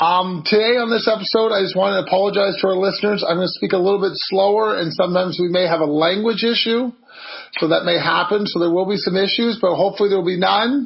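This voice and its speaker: Excited in tone, a man with a high pitch talks at a very fast pace with very even loudness over noticeable background noise. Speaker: podcast host. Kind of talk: podcast interview.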